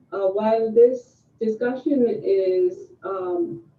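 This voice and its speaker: The speaker is a woman. Her intonation is lively. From India, Mumbai. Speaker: panelist. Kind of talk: panel discussion. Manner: halting.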